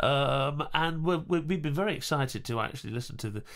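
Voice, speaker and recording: Lively intonation marks this man's speech in an English accent. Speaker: podcast co-host and actor. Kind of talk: casual chat. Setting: studio.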